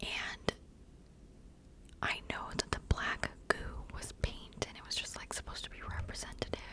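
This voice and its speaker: Whispering at a moderate pace, a woman speaks with big swings in loudness and long, frequent pauses over noticeable background noise. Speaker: ASMR creator. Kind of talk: whispered ASMR ramble. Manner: halting, filler-heavy.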